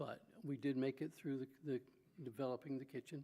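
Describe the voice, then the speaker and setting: A man speaks with a dark, mellow tone at a medium pitch. His pace is fairly slow. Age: 80s+. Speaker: eulogy speaker at a funeral. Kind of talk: eulogy. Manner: halting, many fillers.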